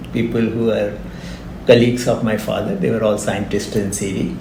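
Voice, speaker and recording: Noticeable background noise and audible room echo surround this man as he speaks. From India, grew up in Pilani, Rajasthan. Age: 60s. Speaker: retired engineering professor. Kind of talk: interview. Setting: podcast recording.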